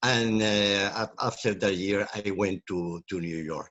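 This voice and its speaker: A man speaks in an Andalusian accent. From southern Spain and Tangier, Morocco. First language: Spanish. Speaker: academic, language academy director and professor. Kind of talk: interview. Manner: halting, many fillers and repetitions.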